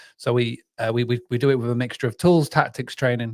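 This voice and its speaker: In a very clean recording with a silent background, a man with a British accent talks at a fairly quick pace and medium pitch in a monotone, flat intonation. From northern England, North Yorkshire. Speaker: business founder. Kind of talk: casual chat.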